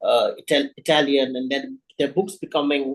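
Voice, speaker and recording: A man with an Indian accent speaks with ordinary pitch variation. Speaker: writer. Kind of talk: interview. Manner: halting.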